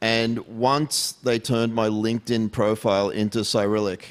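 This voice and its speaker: The speaker is a man with an Australian accent. His pitch is medium. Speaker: tech security executive. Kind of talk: fireside chat.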